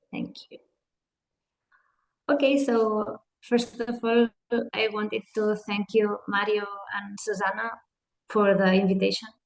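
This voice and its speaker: Speaking at a fairly slow pace with long, frequent pauses, a woman with a non-native accent uses a fairly high pitch and flat, monotone intonation, her loudness swinging widely. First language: Spanish or Catalan. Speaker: hand therapist. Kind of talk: webinar presentation.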